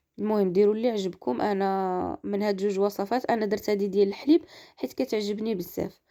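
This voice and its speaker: Her dark, mellow tone at medium pitch for a woman, with ordinary pitch variation, comes at a fairly quick pace with hardly any pauses. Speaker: cooking video creator. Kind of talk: cooking tutorial.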